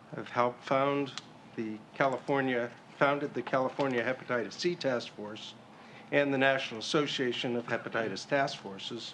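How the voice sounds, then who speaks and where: A plain, everyday voice belongs to this man, who talks at a moderate pace. His pitch is medium for a man, and his intonation stays fairly even. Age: 60s. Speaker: patient and health policy advocate. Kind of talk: public comment at policy meeting. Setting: public meeting.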